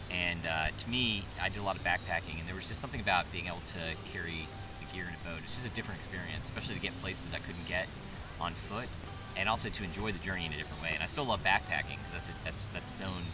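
Over clear background music, a man speaks very fast in a dry recording with no echo. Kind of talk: interview answer. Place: open country.

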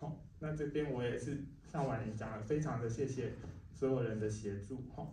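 Audible room echo and light background noise surround a man whose medium pitch shows ordinary variation at a moderate pace. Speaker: film festival curator; speaker. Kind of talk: ceremony speech. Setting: cinema hall with live audience. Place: hall.

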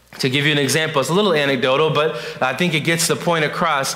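A man talks at a fairly quick pace in a fairly high voice with ordinary pitch variation. Room echo is audible. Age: 20s. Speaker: youth pastor. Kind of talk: sermon. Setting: church. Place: church.

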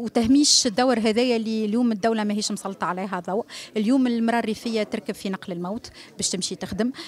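A woman with a Tunisian accent at a fairly high pitch, a very fast pace and fairly even intonation, with light background noise and a dry sound with no echo. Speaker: festival organizer. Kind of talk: press interview. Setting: press conference. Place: hall. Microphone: handheld.

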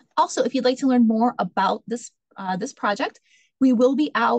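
Over a quiet background, a woman speaks with lively intonation in a somewhat breathy voice. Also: dry sound with no echo. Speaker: meeting host. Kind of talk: public meeting presentation. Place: office. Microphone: video call.

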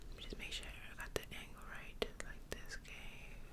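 Loud background noise surrounds this recording. A woman is heard speaking softly. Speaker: ASMR creator. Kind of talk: soft ASMR roleplay talk. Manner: soft, hushed ASMR voice. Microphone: studio mic.

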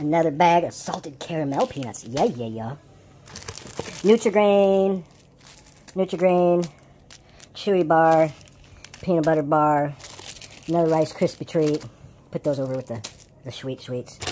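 Long, frequent pauses break up speech delivered at a moderate pace. Light background noise can be heard. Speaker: trucker vlogger. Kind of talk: casual unboxing commentary. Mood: upbeat, pleased. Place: home room. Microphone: phone near.

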